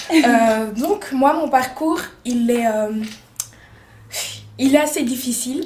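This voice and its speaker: Using a high pitch with ordinary pitch variation, a woman speaks at a very slow pace with long, frequent pauses, amid audible room echo and noticeable background noise. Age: 20s. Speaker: makeup artist and beauty student. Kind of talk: interview. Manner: hesitant, many fillers.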